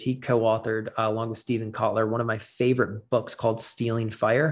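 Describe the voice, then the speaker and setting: In a very clean recording with a silent background, an unremarkable speaking voice goes at a fairly quick pace. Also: man. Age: 20s. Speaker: podcast host, health and wellness doctor. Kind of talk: solo podcast monologue. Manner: casual with many filler words.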